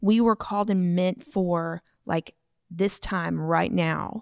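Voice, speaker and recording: A woman speaks at medium pitch with fairly even intonation, a normal speaking voice. The sound is dry and close with no echo. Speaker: podcast co-host. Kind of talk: casual interview chat.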